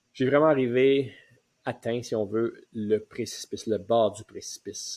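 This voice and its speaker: The sound is dry and close, with no echo. A man speaks very slowly. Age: 60s. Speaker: retirement coach. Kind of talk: personal testimony. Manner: hesitant, many fillers.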